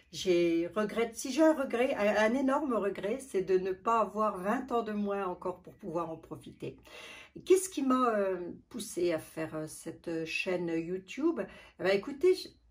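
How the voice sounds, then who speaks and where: A woman with a medium pitch talks at a fairly slow pace. Her intonation is lively and her loudness swings widely. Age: 60s. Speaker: beauty vlogger. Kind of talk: casual vlog talk. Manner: halting.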